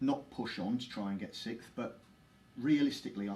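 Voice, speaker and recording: Heard with audible room echo, a man with a London accent speaks in a dark, mellow tone and fairly even intonation. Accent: London accent, never shifted. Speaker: former footballer and club ambassador. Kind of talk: interview. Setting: live Facebook stream at football stadium.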